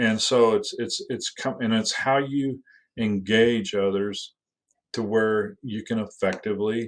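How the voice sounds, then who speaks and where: A man with an American accent talks against a quiet background. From US Midwest. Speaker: school district facilities leader. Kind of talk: podcast interview. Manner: loud; halting, many repeated words.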